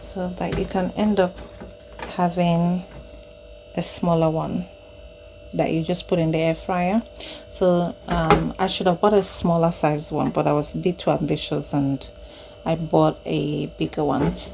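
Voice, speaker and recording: Soft-spoken and at a fairly slow pace, a woman leaves long, frequent pauses over noticeable background noise. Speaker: home cooking vlogger. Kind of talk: casual product demonstration. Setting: home kitchen, handheld camera.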